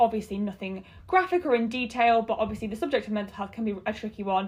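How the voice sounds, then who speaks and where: With a British accent, a woman talks at a fairly quick pace in a somewhat breathy, fairly high voice with ordinary pitch variation. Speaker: podcast host. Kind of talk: casual chat.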